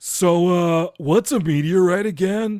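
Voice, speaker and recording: This is a put-on character voice at middle pitch. It moves at a fairly slow pace on a very clean recording with a silent background. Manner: dumb, oafish, clueless.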